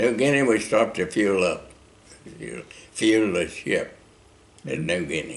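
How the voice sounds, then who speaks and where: Vocal fry marks this moderately paced voice with an American accent, very wide pitch swings, and long, frequent pauses. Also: man, fairly low pitch for a man. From Oklahoma, USA. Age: 80s+. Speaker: war veteran. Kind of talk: interview answer.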